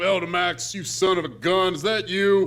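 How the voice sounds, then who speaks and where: A man puts on a high-pitched character voice at a moderate pace over light background noise. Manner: gruff, surprised, friendly.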